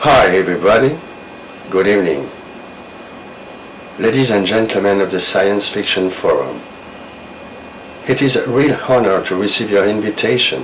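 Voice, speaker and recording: Lively intonation in a French accent at a moderate pace, with long, frequent pauses, audible room echo and noticeable background noise. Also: man, fairly low pitch for a man. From France. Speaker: novelist. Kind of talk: recorded video message; reading aloud. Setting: video recording.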